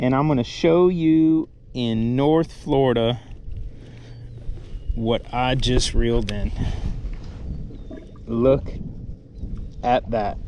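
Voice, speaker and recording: Noticeable background noise runs beneath speech delivered at a very slow pace with long, frequent pauses. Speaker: fishing vlogger. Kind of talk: outdoor vlog. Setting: outdoors on a kayak. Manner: loud; animated.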